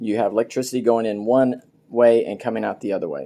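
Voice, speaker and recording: Medium-pitched male speech, dark and mellow in tone. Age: 60s. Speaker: DIY homeowner video maker. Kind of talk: tutorial. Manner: casual, halting with fillers.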